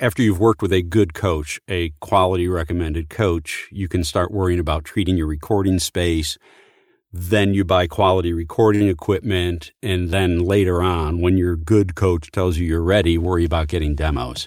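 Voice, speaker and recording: On a very clean recording with a silent background, a man with an American accent speaks at a moderate pace in a very deep, low pitch with fairly even intonation. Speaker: voice actor and retired Marine. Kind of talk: interview.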